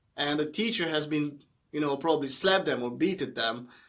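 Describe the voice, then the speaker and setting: A man speaks with a Hungarian accent. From Hungary. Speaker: motivational YouTuber. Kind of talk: motivational talk to camera. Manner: halting, with fillers.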